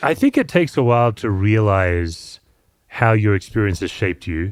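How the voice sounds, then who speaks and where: A man with an Australian accent and a fairly low voice speaks at a moderate pace with lively intonation, on a very clean recording with a silent background. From Australia, Perth. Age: 50s. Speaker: pastor and author. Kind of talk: podcast interview.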